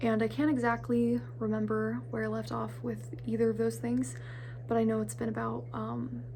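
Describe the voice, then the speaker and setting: A woman with a very deep, low pitch and a dark, mellow, somewhat breathy tone speaks at a moderate pace amid audible room echo. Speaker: vlogger and independent filmmaker. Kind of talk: casual vlog talk. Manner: halting, many fillers.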